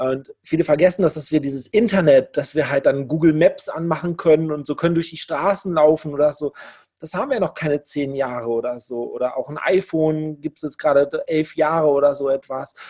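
A man with a dark, mellow tone and a fairly high pitch talks at a fairly quick pace, with ordinary pitch variation and big swings in loudness. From Germany, Lower Rhine region. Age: 40s. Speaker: affiliate marketer, formerly homeless. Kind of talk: interview, personal story.

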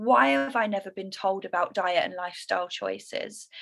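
A woman with a London accent at a moderate pace. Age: 30s. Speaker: yoga teacher and lifestyle coach. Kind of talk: personal testimony in interview. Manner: bubbly.

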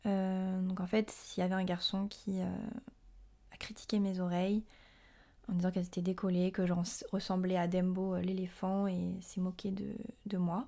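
The voice has a dark, mellow tone, monotone, flat intonation and a fairly slow pace. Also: woman, medium pitch for a woman. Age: 20s. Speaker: podcaster. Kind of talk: personal monologue. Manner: hesitant with many fillers.

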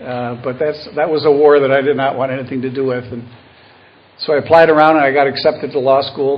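Delivered in a flat monotone at a very fast pace, this man's fairly high-pitched voice carries an American accent. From Buffalo, New York. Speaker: retired lawyer, AA speaker. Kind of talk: recovery talk / testimony.

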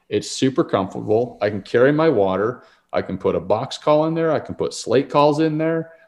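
A man with an American accent speaks at a medium pitch and a fairly quick pace, in a plain, everyday voice. His intonation is lively, and the background is quiet. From Utah. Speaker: outdoor gear business owner and hunter. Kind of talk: casual interview. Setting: at home, remodeling house.

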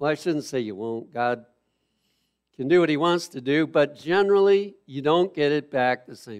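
An unremarkable speaking voice moves at a moderate pace with lively intonation and big swings in loudness against a quiet background. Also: man, fairly high pitch for a man. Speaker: preacher. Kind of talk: sermon. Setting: church with live audience in the evening. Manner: earnest, teacherly preaching, steady and exhortative.

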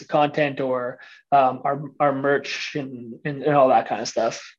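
A man's fairly high voice, monotone and flat, at a moderate pace against a quiet background. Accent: Canadian. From Ontario, Canada (Windsor area). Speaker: fitness entrepreneur and podcaster. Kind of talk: casual interview.

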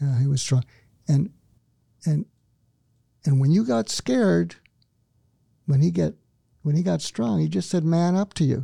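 Speaking at a moderate pace with long, frequent pauses, a man with a fairly high pitch, a dark, mellow tone and a somewhat breathy voice moves through very wide pitch swings. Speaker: psychiatrist and author. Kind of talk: casual interview. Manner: calm, soothing.

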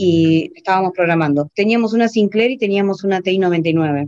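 A woman with a plain, everyday voice, medium in pitch, with ordinary pitch variation and a moderate pace. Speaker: programmer. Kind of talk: interview.

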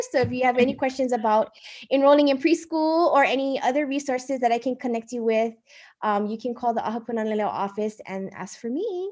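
Against a quiet background, a woman with a Hawaiian accent talks very fast in a high voice with ordinary pitch variation. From Hawaii, Oahu (Kaneohe). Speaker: Hawaiian-language preschool staff. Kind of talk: interview.

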